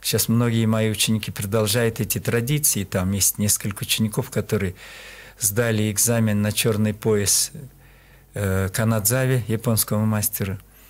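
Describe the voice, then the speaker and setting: Speaking with a Kyrgyz accent, a man keeps a moderate pace, fairly even intonation, very even loudness and a fairly low pitch. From Kyrgyzstan, Talas region; Kyrgyzstan. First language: Kyrgyz (speaking Russian). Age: 70s. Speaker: qigong master; radio guest. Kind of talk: interview. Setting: studio. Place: studio. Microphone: studio mic.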